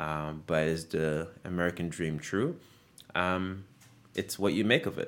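Speaking fairly slowly, a man uses a very deep, low voice with fairly even intonation. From Guinea, West Africa. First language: French. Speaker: fashion brand founder. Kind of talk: casual interview chat. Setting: studio.

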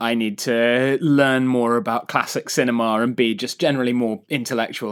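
A man with a normal speaking voice talks at a moderate pace with ordinary pitch variation, on a very clean recording with a silent background. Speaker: journalist and nonfiction writer.

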